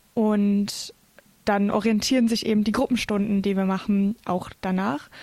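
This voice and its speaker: Delivery comes at a moderate pace in a monotone, flat intonation with a dark, mellow tone. The recording is very clean, with a silent background. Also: woman. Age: 20s. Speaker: theology student and scout leader. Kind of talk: casual interview. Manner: hesitant, many filler sounds.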